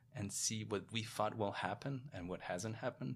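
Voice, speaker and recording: A man's fairly low-pitched, bright, sharp voice with a Polish accent, over a quiet background. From Poland. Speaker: investment professional and author. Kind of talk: interview.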